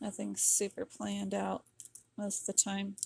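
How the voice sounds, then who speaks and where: A woman speaks softly in a relaxed tone. The sound is dry and close, with no echo. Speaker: crafter and online seller. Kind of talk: craft tutorial. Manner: soft-spoken; relaxed and slow.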